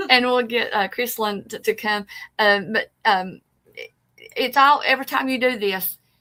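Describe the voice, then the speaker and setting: A woman speaks with an East Tennessee accent at a moderate pace. Her high-pitched voice has a bright, sharp tone. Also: ordinary pitch variation. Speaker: paranormal show co-host. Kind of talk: casual chat. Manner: halting.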